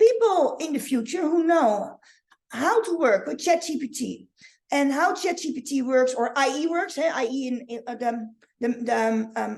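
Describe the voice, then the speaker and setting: With a Dutch accent, a woman talks at a moderate pace, her high voice swinging very widely in pitch. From Netherlands. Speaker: online marketing coach. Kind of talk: live training. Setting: livestream. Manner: halting. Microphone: webcam.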